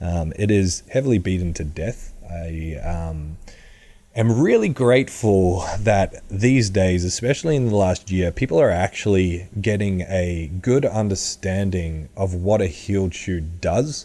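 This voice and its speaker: A man's very deep, low voice in a dark, mellow tone, with an Australian accent. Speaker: powerlifting coach. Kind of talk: podcast monologue.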